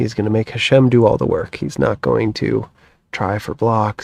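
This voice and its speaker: With an American accent and vocal fry, a man speaks at a moderate pace and medium pitch. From United States. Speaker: croquet commentator. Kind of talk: live sports commentary.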